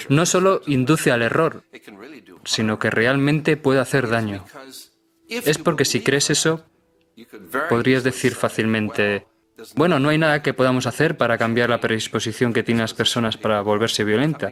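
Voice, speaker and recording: Over music in the background, a man speaks at a moderate pace and medium pitch with ordinary pitch variation, very even loudness, and long, frequent pauses. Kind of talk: documentary dub.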